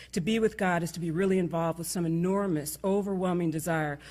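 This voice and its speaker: Speaking at a fairly quick pace, a woman with an American accent has a very deep, low pitch and fairly even intonation. The recording is very clean, with a silent background. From New York. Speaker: conference speaker. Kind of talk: closing speech. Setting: stage with audience. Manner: fast.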